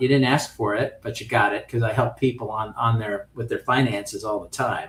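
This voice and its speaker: A man is speaking. His voice is somewhat breathy. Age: 60s. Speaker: options trading instructor. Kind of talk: lecture. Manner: casual, conversational with fillers.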